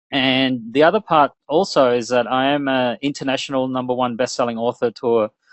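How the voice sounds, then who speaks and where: A man with an Australian accent talks at a fairly quick pace with hardly any pauses and ordinary pitch variation. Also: medium pitch for a man. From Australia, Melbourne. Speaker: webinar presenter, business and internet marketing strategist. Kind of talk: webinar presentation. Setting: online webinar.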